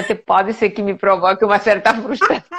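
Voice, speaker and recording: Speaking very fast, a woman holds a medium pitch. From Spain, Majorca (Balearic Islands). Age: 60s. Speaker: medical doctor. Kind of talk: live interview. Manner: animated, conversational.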